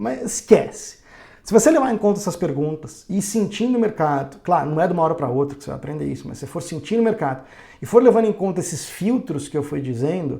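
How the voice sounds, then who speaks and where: Very fast speech with lively intonation. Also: man, high pitch for a man. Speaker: day trading educator. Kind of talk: tutorial. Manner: hesitant fillers.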